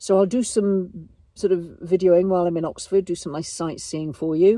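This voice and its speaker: Someone with an English accent speaks at a moderate pace. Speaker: vlogger. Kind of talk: casual chat. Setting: outdoors at a campsite. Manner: speaking quietly.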